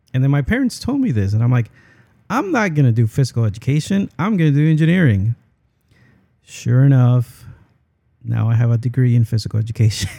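At a fairly quick pace, a man of medium pitch talks in a somewhat breathy voice with a dark, mellow tone, lively intonation and long, frequent pauses. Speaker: podcast host. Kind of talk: casual interview conversation.

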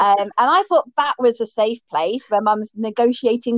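A woman talks at a moderate pace. Hers is a normal speaking voice with a fairly high pitch. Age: 30s. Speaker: LGBTQ+ inclusion educator and campaigner. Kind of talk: casual interview chat.

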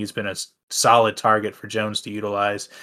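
In a very clean recording with a silent background, a man speaks at a medium pitch with a bright, sharp tone. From Tennessee, near Nashville. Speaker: fantasy football podcast co-host. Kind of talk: casual chat. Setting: recording studio.

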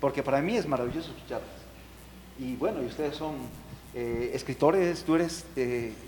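Delivered at a moderate pace with long, frequent pauses, the speech carries audible room echo. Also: man, fairly high pitch for a man, ordinary pitch variation. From Ecuador, Ambato. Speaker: artist. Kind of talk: panel discussion.

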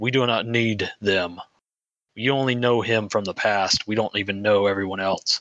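In a put-on character voice, a man speaks softly at a fairly low pitch. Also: moderate pace.

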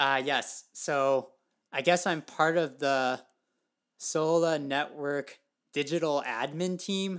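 Someone speaks at a very slow pace in a very clean recording with a silent background. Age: 30s. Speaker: podcast co-host, new parent. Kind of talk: casual chat.

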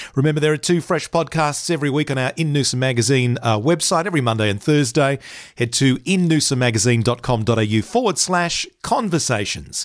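This man has an Australian accent and a fairly high pitch, speaking at a fairly quick pace with hardly any pauses. His loudness stays very even while his intonation is lively. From Queensland, Australia (Bundaberg). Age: 50s. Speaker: podcast host. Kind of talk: interview; scripted intro and outro.

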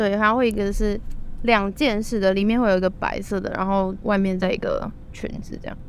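Amid audible room echo, a woman speaks at a fairly quick pace with monotone, flat intonation. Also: medium pitch for a woman. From Taiwan. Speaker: student and former au pair. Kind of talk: casual interview chat.

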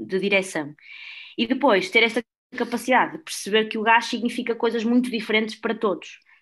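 With ordinary pitch variation and a moderate pace, a woman talks over a quiet background. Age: 20s. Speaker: former volunteer group board member. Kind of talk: casual podcast chat.

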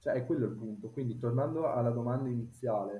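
A man in an unremarkable speaking voice goes at a fairly quick pace, medium in pitch with ordinary pitch variation. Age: 30s. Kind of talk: casual chat.

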